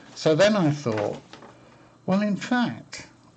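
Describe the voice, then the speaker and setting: Very slow speech from a man, full of vocal fry and very wide pitch swings. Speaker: electronics hobbyist. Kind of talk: casual tutorial talk to camera. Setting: webcam microphone.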